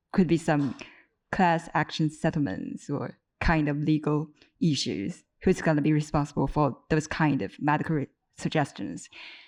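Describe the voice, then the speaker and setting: Over a quiet background, a woman with a very deep, low pitch talks at a moderate pace with lively intonation. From China. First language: Mandarin and Cantonese. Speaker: audience member asking questions. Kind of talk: panel Q&A question.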